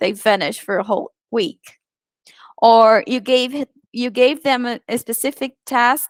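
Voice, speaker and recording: Recorded dry and close with no echo, the voice carries a Portuguese accent at a fairly slow pace with ordinary pitch variation. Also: woman, high pitch for a woman. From Brazil. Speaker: virtual assistant and online presenter. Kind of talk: presentation.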